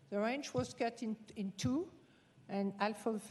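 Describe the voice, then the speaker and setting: Speaking at a fairly slow pace with a French accent, a woman has a dark, mellow tone and lively intonation. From France. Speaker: rancher, public commenter. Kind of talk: public comment at county hearing. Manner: halting.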